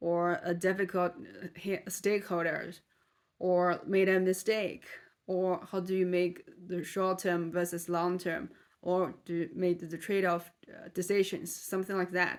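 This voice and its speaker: At a fairly slow pace, a woman speaks in a monotone, flat intonation at a medium pitch. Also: very clean recording, silent background. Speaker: vlogger practicing English. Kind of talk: casual monologue to camera. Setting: talking alone in front of a camera. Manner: halting, with self-corrections.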